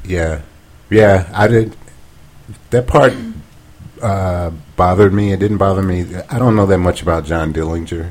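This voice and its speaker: A somewhat breathy voice with an American accent, broken by long, frequent pauses. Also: man, very deep, low pitch for a man, ordinary pitch variation, moderate pace. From US South. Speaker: podcast co-host. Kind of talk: casual chat. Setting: home dining room.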